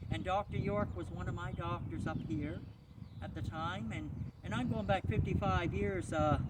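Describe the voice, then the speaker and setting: The voice swings very widely in pitch at a moderate pace, with audible room echo and noticeable background noise. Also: man. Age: 60s. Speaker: vlogger sharing personal history. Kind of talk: personal testimony. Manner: halting.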